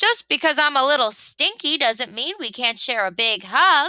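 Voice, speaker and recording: A woman performs a put-on character voice, high in pitch. She speaks at a moderate pace. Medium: read story.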